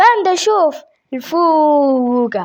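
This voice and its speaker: A woman puts on a cartoonish character voice pitched high. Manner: excitable.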